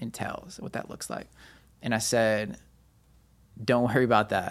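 The pace here is moderate. A man talks at a medium pitch. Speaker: pastor and nonprofit founder. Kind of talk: casual interview, personal testimony.

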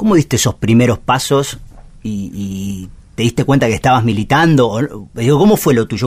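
A man's medium-pitched voice with lively intonation, music in the background. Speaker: radio host. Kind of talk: interview. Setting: radio studio. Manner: halting.

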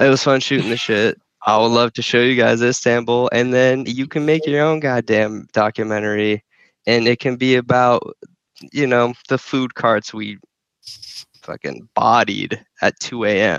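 A man has an ordinary speaking voice with an American accent and a medium pitch. He talks at a fairly slow pace with fairly even intonation. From US, New Jersey and Phoenix. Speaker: podcast guest. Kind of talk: casual chat.

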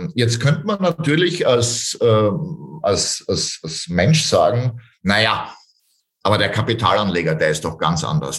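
A man speaks at a very slow pace, his pitch swinging very widely. His voice is somewhat breathy. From Austria, Styria. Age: 40s. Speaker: real estate sales trainer. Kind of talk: interview.

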